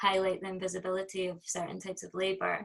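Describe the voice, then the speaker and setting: A woman speaks with a Scottish accent. Her pace is moderate. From Scotland. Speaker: performance artist. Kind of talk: interview. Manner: hesitant, many fillers.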